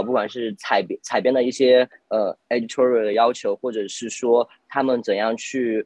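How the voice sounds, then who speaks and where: Using a plain, everyday voice, a man at medium pitch speaks at a fairly quick pace. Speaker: journalism graduate student. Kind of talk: casual panel discussion.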